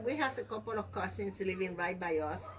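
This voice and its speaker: A woman speaks at a moderate pace in a Spanish accent. There is noticeable background noise behind her. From Puerto Rico. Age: 70s. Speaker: grandmother telling her life story. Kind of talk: life story interview.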